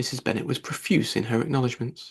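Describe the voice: This man talks fast at a medium pitch, with ordinary pitch variation. His voice has a slightly husky edge and some vocal fry.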